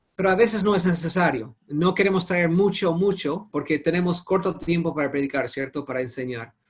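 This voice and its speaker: Speaking with a non-native accent, a man talks fairly quickly in a high pitch with hardly any pauses and ordinary pitch variation. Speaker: Bible teacher. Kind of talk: online Bible study class. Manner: halting.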